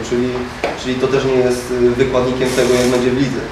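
In a Polish accent, a man speaks at a medium pitch, with noticeable background noise and audible room echo. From Poland. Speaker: football player. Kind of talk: press conference. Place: meeting room.

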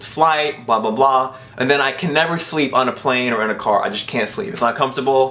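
With ordinary pitch variation, a man talks at a very fast pace. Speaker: vlogger. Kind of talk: casual vlog chat. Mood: mock-complaining, humorous. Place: home room.

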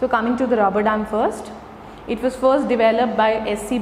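At a moderate pace, a woman talks with fairly even intonation. Room echo is audible, along with light background noise. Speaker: presenter. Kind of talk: lecture. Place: classroom. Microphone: camera far.

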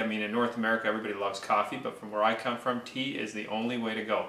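A man at a very fast pace with monotone, flat intonation and audible room echo. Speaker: mortgage broker hosting a cooking video. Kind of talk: tutorial. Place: kitchen. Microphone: camera far.

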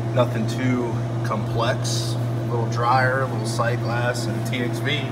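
A man talks over loud background noise. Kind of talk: tutorial. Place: workshop. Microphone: phone near.

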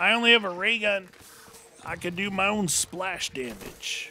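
Against noticeable background noise, a man projects a raised voice at a high pitch. He moves at a fairly slow pace with ordinary pitch variation. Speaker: gaming YouTuber. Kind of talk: gaming let's play commentary. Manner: animated.

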